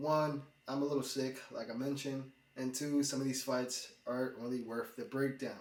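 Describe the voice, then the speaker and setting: A man at a medium pitch and moderate pace, fairly even in intonation, with audible room echo. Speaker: MMA YouTuber. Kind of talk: fight predictions commentary. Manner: casual, conversational.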